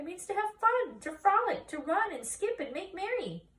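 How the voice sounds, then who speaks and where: A woman's squeaky, extremely high put-on character voice at a moderate pace. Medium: read story. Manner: earnest, plaintive.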